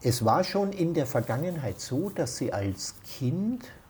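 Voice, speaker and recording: With an Austrian accent, a man speaks fairly slowly in a dark, mellow, somewhat breathy tone, his pitch swinging very widely. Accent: Austrian dialect, still present. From Austria, Baden near Vienna. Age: 60s. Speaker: interviewee. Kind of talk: casual chat. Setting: at his home.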